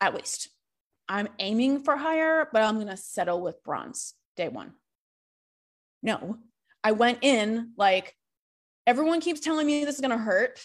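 A woman with an American accent speaks at a high pitch and a fairly slow pace, with long, frequent pauses. The recording is very clean, with a silent background. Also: lively intonation. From Massachusetts. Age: 30s. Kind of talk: faith-based coaching talk. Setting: Facebook live stream.

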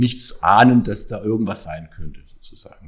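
A man with a fairly low pitch and vocal fry. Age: 40s. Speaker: hospital executive and marathon runner. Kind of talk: interview.

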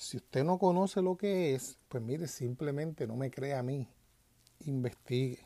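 Over a silent background on a very clean recording, a man with a Puerto Rican accent speaks in a fairly high pitch, his dark, mellow tone carried by lively intonation. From Puerto Rico. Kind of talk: religious commentary monologue.

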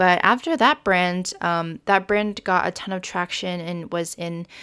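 Recorded very cleanly against a silent background, a woman with an American accent speaks at a fairly low pitch. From Oklahoma and Florida, US. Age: 20s. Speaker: podcast host, designer and student. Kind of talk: casual solo podcast monologue. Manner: informal, chatty.

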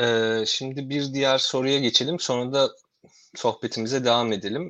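In a normal speaking voice, a man talks at a moderate pace with fairly even intonation against a quiet background. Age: 30s. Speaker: podcast host and academic researcher. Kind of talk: interview hosting. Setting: video call from home.

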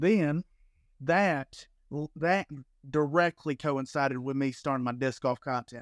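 A man with an American accent and an ordinary speaking voice talks fairly slowly at a fairly high pitch with ordinary pitch variation, the sound dry and close with no echo. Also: very clean recording, silent background. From US South, Alabama. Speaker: disc golf content creator. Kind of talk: casual interview chat.

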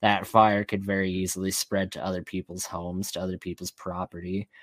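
A man with a very deep, low pitch talks at a fairly quick pace in a flat monotone. The recording is very clean with a silent background. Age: 20s. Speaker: agnostic atheist guest. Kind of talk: casual chat. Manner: halting.

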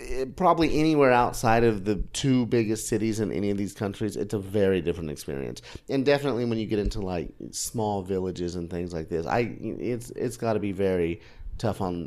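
This man has an unremarkable speaking voice with an American accent and a fairly low pitch. He talks at a fairly quick pace with lively intonation. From Oklahoma. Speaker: food and travel blogger. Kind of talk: casual chat. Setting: in person, recorded in Tbilisi.

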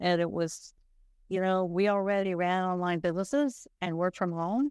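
A woman with an American accent has an unremarkable speaking voice at a fairly low pitch. She talks at a moderate pace with ordinary pitch variation. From US South, rural South Carolina. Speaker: freelance marketing copywriter. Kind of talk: casual interview chat.

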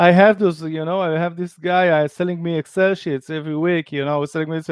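A man's high-pitched voice at a very fast pace. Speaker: startup founder and former lawyer. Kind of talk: interview.

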